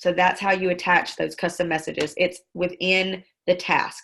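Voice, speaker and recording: In a Southern US accent, a woman talks with a bright, sharp tone and a fairly low pitch. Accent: Southern country. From Mississippi (Star). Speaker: network marketing trainer. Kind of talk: tutorial. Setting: video call. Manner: fast.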